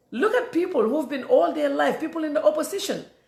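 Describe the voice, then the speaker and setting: A woman talks at a very fast pace, with audible room echo. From The Gambia. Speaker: political commentator. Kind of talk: political commentary monologue. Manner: animated, repetitive stammering.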